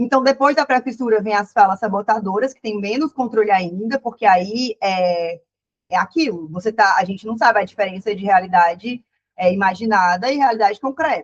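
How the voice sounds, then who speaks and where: A woman speaks at a fairly high pitch with ordinary pitch variation, in a dry, close sound with no echo. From Ceará, Brazil. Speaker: psychologist. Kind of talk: online lecture. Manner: fast; casual, self-correcting.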